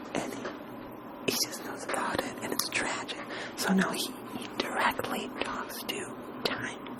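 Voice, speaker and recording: A very slow pace marks this whispering. Noticeable background noise is present too. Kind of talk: ASMR reading and discussion of poetry. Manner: casual, conversational.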